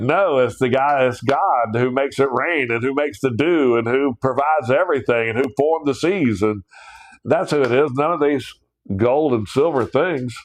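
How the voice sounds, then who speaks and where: With a Southern US accent, this speaker talks at a moderate pace, keeping the loudness very even and the pitch variation ordinary. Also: man, medium pitch for a man. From US South (South Georgia / North Florida). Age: 60s. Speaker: Bible teacher. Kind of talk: livestream Bible study. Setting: live stream. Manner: casual, animated.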